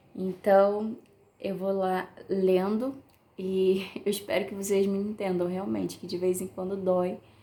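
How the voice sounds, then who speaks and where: A woman's medium-pitched voice, dark and mellow in tone, at a fairly slow pace. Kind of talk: devotional message. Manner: may slur words at times.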